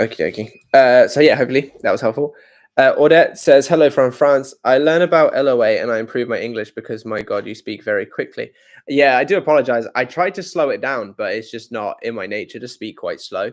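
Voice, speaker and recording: Against a quiet background, a man speaks at a fairly quick pace. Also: big swings in loudness. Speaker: manifestation coach. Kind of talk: live Q&A. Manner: fast.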